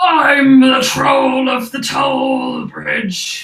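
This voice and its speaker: Shouting in a put-on character voice, a woman yells at a high pitch. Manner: theatrical, gruff.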